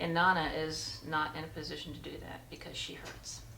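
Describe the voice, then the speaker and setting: At a moderate pace, a woman speaks in a space with audible room echo. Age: 70s. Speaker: patient giving testimonial. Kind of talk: testimony. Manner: hesitant, many filler ums.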